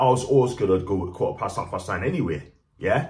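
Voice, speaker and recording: Over a quiet background, a man speaks with vocal fry. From Newcastle, north-east England. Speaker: football fan vlogger. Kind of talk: angry rant about hooligans and a Twitter critic, then direct-to-camera vlog. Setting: video to camera, vlog. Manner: indignant, emphatic, insisting he stays dignified; chatty, upbeat, enthusiastic. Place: home room. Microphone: phone near.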